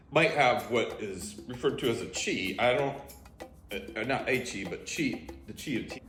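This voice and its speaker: The speaker talks at a moderate pace with big swings in loudness while music plays in the background. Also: man. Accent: American. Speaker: tea reviewer. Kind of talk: casual talk to camera.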